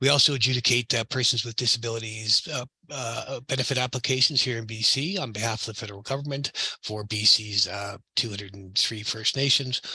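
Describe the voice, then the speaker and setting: Here a man speaks at medium pitch with a bright, sharp tone. His pace is fairly quick and his pitch varies in an ordinary way. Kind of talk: conference panel talk. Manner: fast; many fillers and repetitions.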